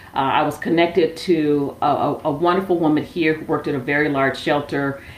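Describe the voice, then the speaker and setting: A woman with an American accent speaks at a fairly quick pace in a very deep, low voice over noticeable background noise. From Milwaukee, Wisconsin, US Midwest. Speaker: social enterprise founder. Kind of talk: interview. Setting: remote call.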